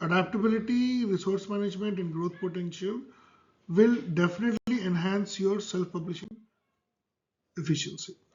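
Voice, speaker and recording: High-pitched man with a Telugu accent at a moderate pace with fairly even intonation. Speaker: author and self-publishing educator. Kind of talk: tutorial. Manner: casual with frequent fillers.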